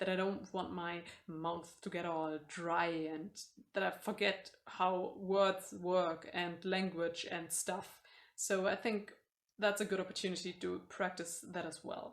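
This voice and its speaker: A woman with a German accent, in a monotone, flat intonation. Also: medium pitch for a woman, fairly slow pace. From Germany. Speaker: booktuber. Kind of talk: casual vlog. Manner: mumbling, hesitant.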